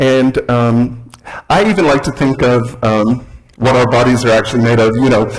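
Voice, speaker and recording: With an American accent, a man speaks at a moderate pace and medium pitch, his intonation fairly even. Noticeable background noise runs behind him. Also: very even loudness. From US South, Alabama. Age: 60s. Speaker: guest speaker. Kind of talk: sermon. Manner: halting, many fillers.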